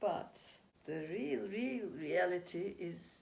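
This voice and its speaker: The voice has vocal fry and lively intonation. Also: woman. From Türkiye. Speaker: Chi Kung teacher, spirituality and dance enthusiast. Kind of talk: interview answer.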